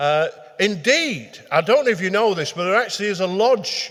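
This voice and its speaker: The intonation here is lively. The speaker has a Lancashire accent. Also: man. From northern England, Manchester. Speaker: retired detective and crime historian. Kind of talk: public talk. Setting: meeting hall with live audience. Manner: hesitant, with many fillers.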